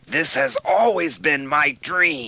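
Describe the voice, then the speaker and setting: A raspy, put-on character voice from a man, pitched fairly high. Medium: audio drama. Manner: curt.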